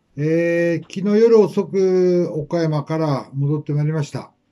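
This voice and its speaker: Against a quiet background, a man with a fairly high pitch speaks in a dark, mellow tone with ordinary pitch variation. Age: 70s. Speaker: menswear fashion veteran. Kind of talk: advice talk to camera. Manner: polite, measured. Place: shop.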